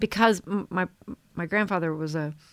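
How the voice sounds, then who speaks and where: A woman with an American accent speaks in an unremarkable speaking voice. Her pace is moderate and her intonation fairly even. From southern Missouri. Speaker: podcast co-host. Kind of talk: casual chat.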